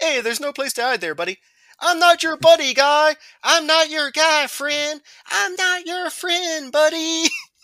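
A put-on, high-pitched character voice with a Canadian accent speaks at a moderate pace. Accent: cartoon Canadian. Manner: taunting, menacing.

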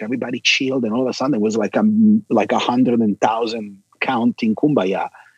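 With an Italian accent, a man at a medium pitch speaks at a moderate pace with ordinary pitch variation in a dry, close sound with no echo. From Milan, Italy. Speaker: bassist and record producer. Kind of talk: interview.

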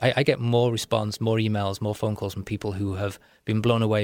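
Here a man speaks at a very fast pace, fairly low in pitch, with monotone, flat intonation. The recording is very clean, with a silent background. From Wales and Liverpool, UK. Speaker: entrepreneur and author. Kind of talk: radio interview. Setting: radio studio.

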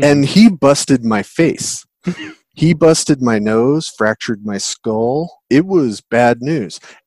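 In a dry, close sound with no echo, a man with an American accent speaks very slowly at a medium pitch with lively intonation. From US Pacific Northwest (Seattle). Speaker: tabletop RPG game designer. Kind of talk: casual interview chat.

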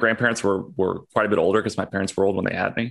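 A man speaks in an American accent with ordinary pitch variation. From California. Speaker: podcaster interviewing a libertarian. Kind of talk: casual conversational interview. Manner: halting, many fillers.

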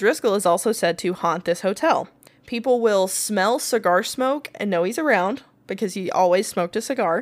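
A woman speaks in a normal speaking voice with an American accent, at medium pitch. Her pace is moderate and her intonation lively. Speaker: podcast co-host. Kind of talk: casual chat and paranormal storytelling. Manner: playful, laughs often.

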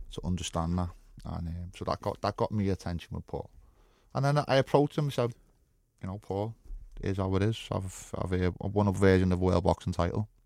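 A man's very deep, low voice with a dark, mellow tone and a Liverpool accent, ordinary pitch variation, a fairly quick pace, and a dry, close sound with no echo on a very clean recording with a silent background. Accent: Scouse. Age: 40s. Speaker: former fighter. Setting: studio.

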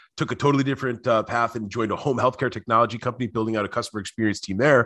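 In a quiet setting, a man talks with fairly even intonation at a medium pitch. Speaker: author and customer experience professional. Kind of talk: casual interview chat. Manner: fast talker.

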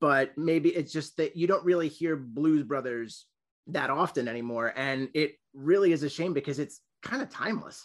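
A man with an American accent, an ordinary speaking voice and a fairly high pitch, moderate pace, ordinary pitch variation and a quiet background. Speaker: podcast co-host. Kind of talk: casual interview chat.

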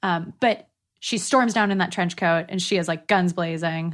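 Against a quiet background, a woman with an ordinary speaking voice and an American accent speaks at a medium pitch with ordinary pitch variation. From Northern California. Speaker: actor and sketch comedian. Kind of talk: casual chat.

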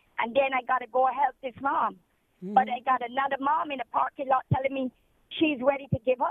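Speaking at a fairly quick pace, a woman with a high pitch keeps her intonation fairly even. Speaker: charity volunteer feeding the homeless. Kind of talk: phone interview. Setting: phone call.

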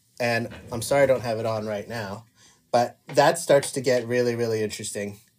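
Using an ordinary speaking voice, a man talks at medium pitch and a moderate pace. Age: 40s. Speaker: film and TV composer. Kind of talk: casual interview.

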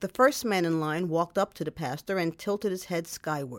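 In a very clean recording with a silent background, a woman with a plain, everyday voice speaks at medium pitch and a moderate pace. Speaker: radio host. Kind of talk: storytelling narration. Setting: studio.

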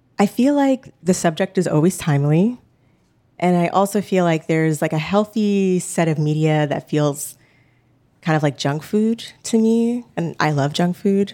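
The intonation is lively. Loudness stays very even throughout. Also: woman, moderate pace. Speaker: podcast finalist. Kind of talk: stage Q&A.

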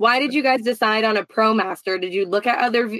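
A woman with medium pitch and ordinary pitch variation has an ordinary speaking voice. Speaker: van life podcast co-host. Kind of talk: casual interview chat. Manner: playful, chatty.

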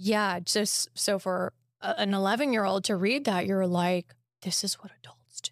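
A woman speaks in an ordinary speaking voice at a moderate pace, with a medium pitch and ordinary pitch variation. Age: 30s. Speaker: podcast host. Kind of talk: casual interview.

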